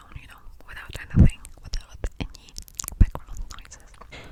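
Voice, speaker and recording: Whispering, a woman can be heard over noticeable background noise. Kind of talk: ASMR rumble about mental health, soft speaking and whispering. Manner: soft-spoken, whispering.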